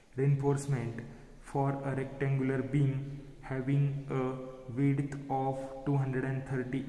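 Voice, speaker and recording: In a room with audible echo, a man speaks at a very slow pace with monotone, flat intonation. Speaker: engineering lecturer. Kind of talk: lecture. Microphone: phone near.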